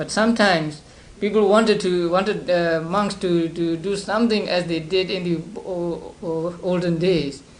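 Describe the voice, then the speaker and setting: Speaking with a Burmese accent, a man uses a high pitch, fairly even intonation and a moderate pace, with audible room echo. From Burma (Upper Burma, Sagaing). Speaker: Buddhist monk teacher. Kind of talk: lecture. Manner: halting, many repetitions and fillers.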